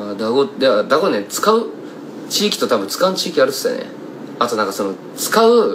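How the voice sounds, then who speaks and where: Over noticeable background noise, a man speaks at a fairly quick pace with a fairly high pitch, very wide pitch swings, and long, frequent pauses. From Kumamoto, Japan; Japan. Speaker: singer-songwriter; singer-songwriter streamer. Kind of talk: casual livestream chat. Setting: Instagram live stream. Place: home room. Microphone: phone near.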